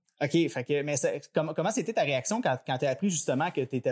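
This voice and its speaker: In a very clean recording with a silent background, a man with a Quebec accent speaks fairly quickly with ordinary pitch variation. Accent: Québécois French. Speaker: podcast host, transit company employee. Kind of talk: interview. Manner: halting.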